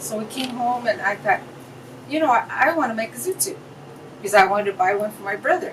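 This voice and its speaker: Talking very fast with a fairly high pitch, lively intonation, big swings in loudness and long, frequent pauses, a woman with an American accent is heard over noticeable background noise. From Fullerton, California. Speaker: business owner. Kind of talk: interview answer.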